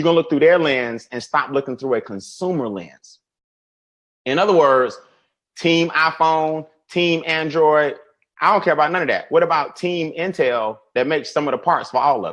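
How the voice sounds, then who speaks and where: Against a quiet background, a man in an American accent talks in an animated tone at a fairly high pitch with ordinary pitch variation. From US South. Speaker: financial educator. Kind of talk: webinar presentation. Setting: online webinar. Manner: fast.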